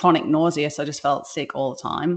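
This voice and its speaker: A woman with a British accent speaks in a very deep, low pitch with ordinary pitch variation against a quiet background. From UK. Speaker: business founder. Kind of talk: interview. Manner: casual, hesitant with many fillers.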